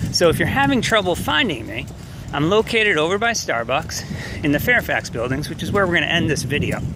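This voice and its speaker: A man with a high voice talks at a fairly quick clip, his pitch swinging very widely over noticeable background noise. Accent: American. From New York. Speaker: chemistry professor. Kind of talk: walking video welcome message to students. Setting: outdoors walking on campus. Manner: fast.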